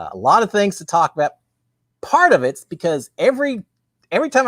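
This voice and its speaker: A man with a Texan accent at a fairly quick pace, his pitch swinging very widely in a dry, close sound with no echo. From Texas. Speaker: live stream host, former reality show contestant. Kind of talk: casual live stream chat. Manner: fast.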